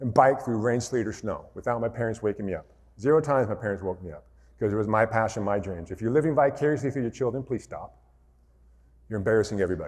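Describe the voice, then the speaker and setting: A man with an American accent speaks at medium pitch. His pace is very fast. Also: ordinary pitch variation. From rural Montana, US. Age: 40s. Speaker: motivational speaker, former basketball player. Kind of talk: keynote speech.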